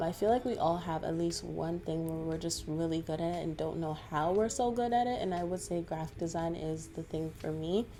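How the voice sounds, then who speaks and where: This is a normal speaking voice. A woman with a fairly low pitch talks at a fairly quick pace with ordinary pitch variation. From Toronto, Canada. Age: 20s. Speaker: graphic designer. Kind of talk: Q&A answers to camera.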